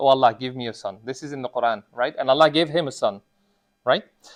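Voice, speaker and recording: With a non-native accent, a man speaks at medium pitch with ordinary pitch variation. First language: not Arabic. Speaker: imam giving a sermon. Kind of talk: sermon. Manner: conversational, many fillers.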